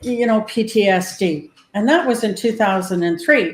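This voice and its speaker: At a moderate pace, a woman speaks with a fairly high pitch and a somewhat breathy sound. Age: 70s. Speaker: former police dispatcher, author. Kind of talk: panel discussion.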